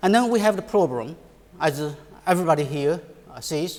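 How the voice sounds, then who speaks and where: A man talks with a Chinese accent. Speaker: economics professor. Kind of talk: conference panel talk. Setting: conference panel. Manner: halting, many fillers.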